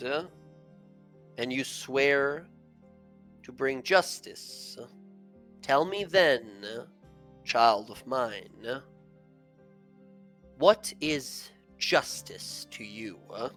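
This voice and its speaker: In a booming, put-on character voice of medium pitch, a man speaks at a very slow pace with long, frequent pauses over faint music in the background. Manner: questioning, authoritative.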